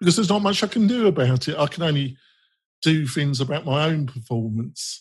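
Against a quiet background, a man speaks at a fairly quick pace with an English accent. His fairly high voice is somewhat breathy, with lively intonation. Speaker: podcast host. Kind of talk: casual interview.

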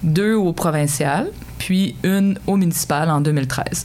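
Through noticeable background noise, a woman speaks at a very slow pace with a very deep, low pitch. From Quebec, Sherbrooke (Estrie). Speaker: mayor. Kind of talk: interview. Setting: studio.

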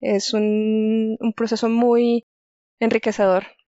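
A woman's fairly high-pitched voice. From Colombia, Chía near Bogotá. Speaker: geoscience researcher. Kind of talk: interview.

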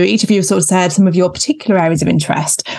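Vocal fry colors this woman's very fast speech. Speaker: GP and podcast co-host. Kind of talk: casual panel chat.

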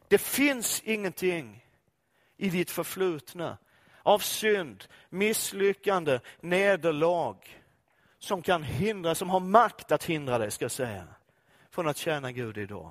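A high-pitched man's voice, very slow, with very wide pitch swings and long, frequent pauses, on a very clean recording with a silent background. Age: 50s. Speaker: pastor. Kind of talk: sermon. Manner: animated.

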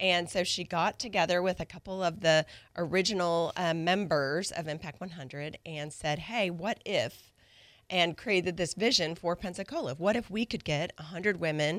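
A woman with a plain, everyday voice talks at a moderate pace, her pitch fairly low with ordinary variation. The recording is very clean, with a silent background. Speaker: nonprofit leader. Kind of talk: interview.

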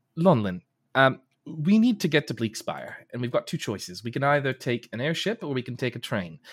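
A man with a medium pitch and vocal fry talks at a fairly quick pace, swinging his pitch very widely. The recording is very clean with a silent background. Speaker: player in tabletop roleplaying game. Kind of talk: casual banter around a tabletop roleplaying game.

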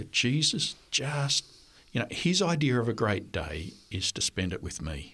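A man with an Australian accent speaks fairly slowly at a medium pitch, using very wide pitch swings and vocal fry. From Australia (New South Wales). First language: French. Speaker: history professor. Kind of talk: interview. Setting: studio.

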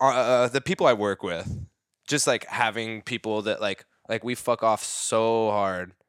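An unremarkable speaking voice from a man at medium pitch, moderate pace and ordinary pitch variation, dry and close with no echo, in a very clean recording with a silent background. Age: 30s. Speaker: dancer. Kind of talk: casual chat.

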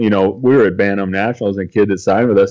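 A dark, mellow tone at a very fast pace over a quiet background. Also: man. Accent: American. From California. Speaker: baseball academy coach. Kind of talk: casual interview. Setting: video call.

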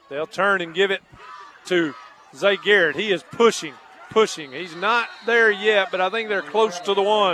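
The voice is raised and projected, moving at a moderate pace with ordinary pitch variation. Noticeable background noise can be heard. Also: man, high pitch for a man. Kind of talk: live play-by-play football commentary. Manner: homespun and folksy, stumbling over words.

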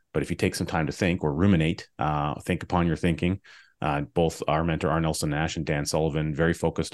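Very fast, monotone, flat delivery with vocal fry against a quiet background. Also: man. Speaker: podcast host. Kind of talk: interview conversation. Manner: hesitant, many fillers.

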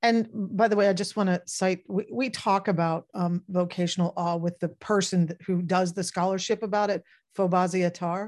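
A plain, everyday voice moves at a moderate pace with fairly even intonation. The background is quiet. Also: woman, medium pitch for a woman. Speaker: podcast co-host. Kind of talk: live-streamed podcast chat. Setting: live webinar broadcast.

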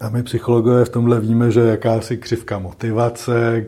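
A man's somewhat breathy voice, medium in pitch and dark and mellow in tone, with monotone, flat intonation. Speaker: psychologist. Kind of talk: interview. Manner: slow.

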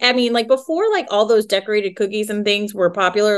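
Here a woman has a fairly high pitch and a plain, everyday voice. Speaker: business founder. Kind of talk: casual interview. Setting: video call.

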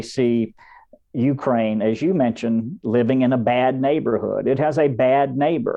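At a fairly slow pace, a normal speaking voice talks with fairly even intonation. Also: man. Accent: American. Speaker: lawyer and research fellow. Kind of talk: panel discussion.

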